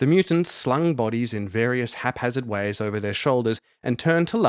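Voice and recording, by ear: Lively intonation throughout, reading aloud in a natural voice.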